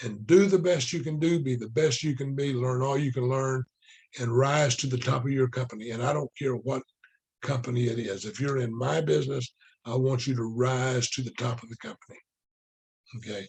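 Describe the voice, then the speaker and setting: The man talks at a moderate pace in a somewhat breathy voice whose pitch varies in an ordinary way. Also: medium pitch for a man. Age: 60s. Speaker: book study teacher, network marketer. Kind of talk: casual lecture. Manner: repetitive, restarting phrases.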